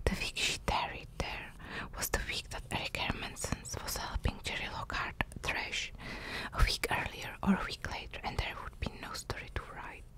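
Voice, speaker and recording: A woman whispers in a calm tone at a moderate pace. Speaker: ASMR narrator. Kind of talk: whispered audiobook-style story reading (ASMR). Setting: close-mic ASMR recording with drawing sounds. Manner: whispered, calm, soft. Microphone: studio mic.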